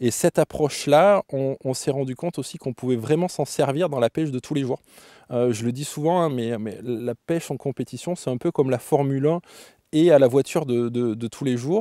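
There is no echo, and the sound is dry. A man talks in a dark, mellow tone with ordinary pitch variation. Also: moderate pace, quiet background. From France, Limousin (Brive-la-Gaillarde); Limousin, France. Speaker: competitive carp angler. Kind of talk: interview. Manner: halting, many repetitions and fillers. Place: tent.

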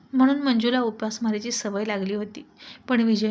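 Intonation is fairly even. The delivery is plain reading aloud.

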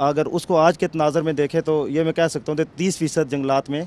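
A man with a fairly high pitch talks in a monotone, flat intonation, and the sound is dry with no echo. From Hattian Bala, Azad Kashmir; Azad Kashmir. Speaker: social sector worker; guest. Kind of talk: panel discussion. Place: open country. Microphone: handheld.

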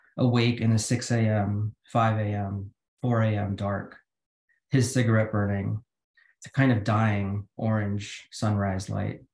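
In a room with audible echo and a quiet background, a man speaks very slowly at a fairly low pitch in a monotone, flat way. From Philippines. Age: 40s. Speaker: poet. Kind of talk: poetry reading. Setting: video call. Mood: calm, measured. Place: home room. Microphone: video call.

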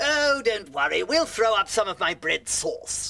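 A man puts on a character voice with a high pitch. He talks at a moderate pace. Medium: comedy sketch. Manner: jolly, hearty.

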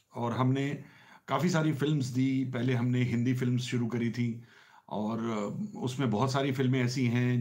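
A man's dark, mellow tone comes at a fairly slow pace with fairly even intonation against a quiet background. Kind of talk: casual talk to camera. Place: home room. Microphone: phone near.

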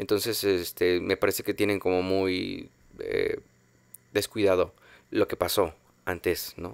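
A man speaks at a fairly slow pace with long, frequent pauses. The sound is dry, with no echo. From Mexico. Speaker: film podcast host; podcast host, film commentator. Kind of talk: casual monologue; podcast commentary. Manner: halting, many fillers. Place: home room. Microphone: studio mic.

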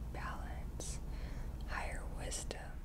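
The speech moves at a very slow pace over loud background noise. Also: woman. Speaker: ASMR creator. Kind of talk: ASMR rambling show and tell. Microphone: studio mic.

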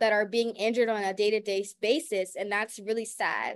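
An animated, fairly high-pitched woman's voice with an American accent, at a fairly quick pace over a quiet background. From US South (New Orleans); Louisiana. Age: young. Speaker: college student panelist and moderator; panelist, moderator. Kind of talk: webinar panel talk. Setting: video call. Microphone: video call.

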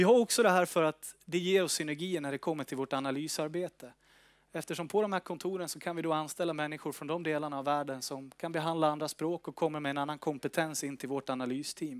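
The intonation stays fairly even. Words come out at a very fast pace over a quiet background. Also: man, fairly high pitch for a man. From northern Sweden. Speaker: company executive. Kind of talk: investor presentation. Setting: stage with audience. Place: meeting room. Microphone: headset.

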